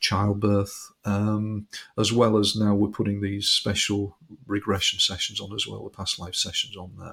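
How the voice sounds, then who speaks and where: In a British accent, a man with a fairly low, somewhat breathy voice speaks at a moderate pace with fairly even intonation. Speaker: hypnotherapist. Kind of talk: interview conversation.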